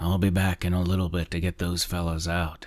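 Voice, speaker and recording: A man's gruff, put-on character voice, very deep and low, flat and monotone, at a fairly quick pace, in a very clean recording with a silent background. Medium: read story. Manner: gruff, curt, calls everyone pal.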